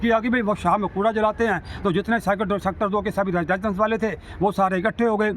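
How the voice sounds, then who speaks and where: A high-pitched man in a monotone, flat delivery, with noticeable background noise. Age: 60s. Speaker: social worker. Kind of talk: interview statement on civic issues. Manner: halting, with stammered restarts.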